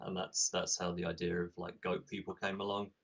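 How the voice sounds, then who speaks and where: The speaker is a man. He has an English accent. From England. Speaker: tabletop game designer. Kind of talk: interview. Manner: hesitant, many fillers.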